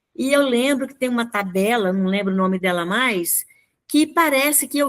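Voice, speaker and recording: High-pitched, a woman speaks with ordinary pitch variation. The recording is very clean, with a silent background. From Brazil, rural Minas Gerais. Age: 70s. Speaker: speaker and educator. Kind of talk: radio interview.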